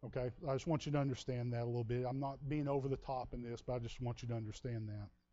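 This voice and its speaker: With a Texas accent, a man at medium pitch talks with hardly any pauses and fairly even intonation. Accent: Texas drawl. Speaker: pastor. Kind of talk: sermon. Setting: church.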